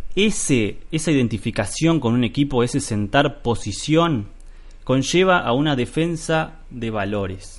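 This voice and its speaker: With a Rioplatense accent, a man speaks at a fairly slow pace in a fairly high pitch, his intonation lively. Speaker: podcast host. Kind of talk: solo podcast monologue. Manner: hesitant, many fillers.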